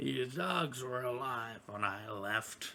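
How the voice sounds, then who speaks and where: Using a put-on character voice, a man speaks at a very slow pace in a raspy, medium-pitched tone. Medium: actual play.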